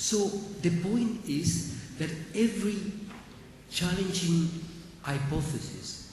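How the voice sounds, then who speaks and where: Amid noticeable background noise and audible room echo, a man talks at a very slow pace with lively intonation. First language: Spanish. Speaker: medical oncologist. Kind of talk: conference talk. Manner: halting, many fillers and repetitions.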